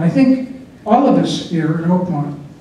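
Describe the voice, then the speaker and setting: A man with an American accent, amid audible room echo and noticeable background noise. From California, San Francisco. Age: 60s. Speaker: board election candidate. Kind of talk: campaign speech. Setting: community meeting room with audience. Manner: halting, many fillers.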